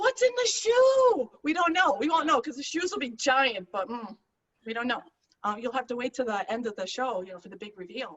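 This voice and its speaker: Lively in intonation and with big swings in loudness, a woman with an American accent talks at a fairly quick pace in a high pitch. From Chicago. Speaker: stand-up comedian. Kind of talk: stand-up. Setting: video call.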